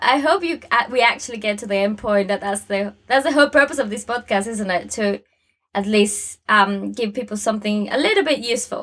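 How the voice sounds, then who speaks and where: Fairly high pitch and ordinary pitch variation in a woman's a normal speaking voice. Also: fairly quick pace. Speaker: podcast host, UX designer. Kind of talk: casual podcast chat.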